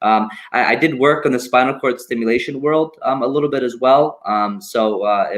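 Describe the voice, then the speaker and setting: Hardly any pauses break this man's speech. His pitch is medium, with ordinary variation. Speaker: medical device representative. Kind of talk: product explanation in interview. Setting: video call. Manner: fast.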